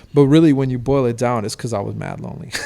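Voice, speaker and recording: Noticeable background noise is present. Over it, a man speaks at a very fast pace. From France (Paris, Toulouse) and Miami. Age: 20s. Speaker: DJ and party co-founder. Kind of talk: casual chat. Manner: casual, halting with fillers.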